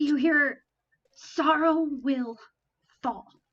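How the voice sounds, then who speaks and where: Gravelly and high-pitched, a woman performs a put-on character voice. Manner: taunting.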